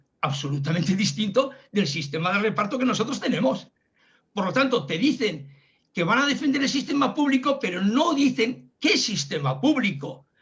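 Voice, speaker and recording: Here a man talks at a moderate pace in a high pitch, with very wide pitch swings. Audible room echo surrounds the voice. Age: 70s. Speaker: pensioner activist speaker. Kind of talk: talk on pension policy in a videoconference. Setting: video call. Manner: halting, many restarts.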